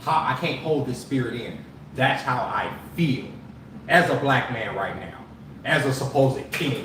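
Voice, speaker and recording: A man is speaking, with audible room echo around him. Noticeable background noise runs underneath. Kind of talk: heated debate. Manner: loud; animated.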